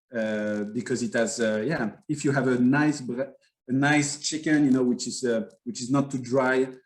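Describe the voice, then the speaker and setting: Speaking at a moderate pace with a French accent, a man uses a medium pitch and fairly even intonation. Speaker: winery owner. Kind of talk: interview. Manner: halting.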